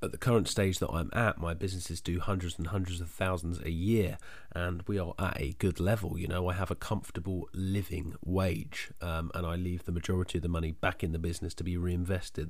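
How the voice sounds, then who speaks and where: Fairly quick, somewhat breathy speech with fairly even intonation and hardly any pauses. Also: man. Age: 20s. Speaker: entrepreneur and podcast host. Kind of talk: solo monologue, personal story.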